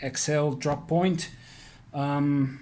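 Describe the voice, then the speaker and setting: Spoken in a non-native accent, the voice carries audible room echo. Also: man. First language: not English. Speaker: knife reviewer. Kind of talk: product review. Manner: halting, many fillers; casual.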